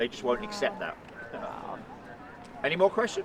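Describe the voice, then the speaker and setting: A man with an English accent, very wide pitch swings, and noticeable background noise. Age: 40s. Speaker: tour guide, ceremonial guard, army veteran. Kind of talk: guided tour talk to a crowd. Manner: animated.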